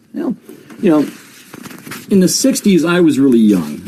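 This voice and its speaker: Speaking over noticeable background noise, a man in an American accent uses lively intonation. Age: 60s. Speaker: comedian. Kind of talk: casual chat.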